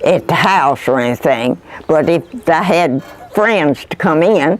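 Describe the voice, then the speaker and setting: Noticeable background noise sits behind a woman's voice. She speaks at a fairly low pitch with lively intonation. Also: fairly slow pace. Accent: rural Kentucky. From Kentucky. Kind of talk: oral history interview answer.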